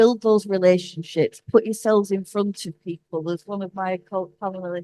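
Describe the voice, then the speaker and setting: Dry and close with no echo, the voice has a dark, mellow tone, a northern English accent, fairly even intonation and a moderate pace. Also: woman. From northern England. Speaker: cultural relations executive, conference panelist. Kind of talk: conference panel talk. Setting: conference stage with audience. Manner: halting, with repetitions.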